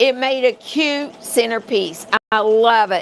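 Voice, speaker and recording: A woman with a West Virginia accent speaks at a fairly slow pace and a fairly high pitch. Noticeable background noise runs underneath. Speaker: crafting instructor. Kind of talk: live tutorial. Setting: livestream. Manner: casual, halting.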